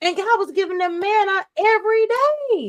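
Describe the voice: A woman's voice at an extremely high pitch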